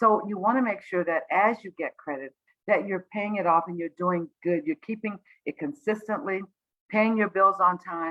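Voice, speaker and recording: A woman's medium-pitched voice with ordinary pitch variation and big swings in loudness. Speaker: credit counselor presenting a webinar. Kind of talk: online presentation. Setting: livestreamed video webinar. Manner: fast.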